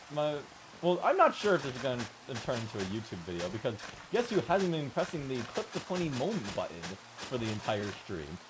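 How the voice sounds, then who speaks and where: A man's pitch swings very widely as noticeable background noise carries on. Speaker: gaming streamer. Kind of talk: live gameplay stream.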